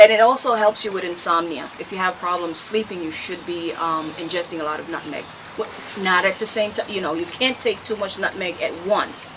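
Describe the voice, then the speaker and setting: A woman with a Jamaican accent, medium pitch, ordinary pitch variation, a fairly quick pace and big swings in loudness, over noticeable background noise. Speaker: herbal health vlogger. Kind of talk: tutorial. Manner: casual, conversational.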